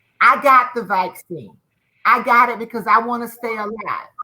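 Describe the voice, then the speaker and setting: A woman speaks in an ordinary speaking voice, fairly high-pitched and at a fairly quick pace. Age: 50s. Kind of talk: panel discussion.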